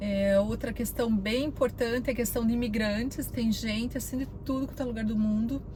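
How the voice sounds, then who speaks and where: Against noticeable background noise and audible room echo, a woman with a Brazilian accent speaks in a fairly high voice with fairly even intonation. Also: moderate pace. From Brazil, Curitiba, Paraná. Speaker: vlogger. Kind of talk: casual vlog talk. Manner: conversational, many fillers.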